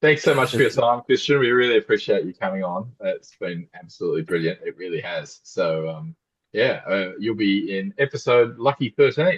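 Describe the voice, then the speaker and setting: At a moderate pace, a man speaks with an Australian accent, the sound dry and close with no echo. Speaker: podcast co-host. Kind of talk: casual chat.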